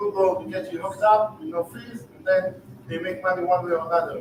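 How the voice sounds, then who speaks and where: Amid noticeable background noise, a man with an Israeli accent speaks at a fairly quick pace in a high voice. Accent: Israeli, lasting after thirty years. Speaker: real estate investor and startup founder. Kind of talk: sales pitch.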